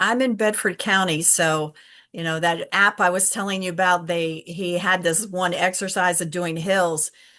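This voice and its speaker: A woman in an American accent speaks with a bright, sharp tone and fairly even intonation over a quiet background. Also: medium pitch for a woman, moderate pace. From Virginia, US. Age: 60s. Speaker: documentary filmmaker. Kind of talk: interview. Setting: live stream.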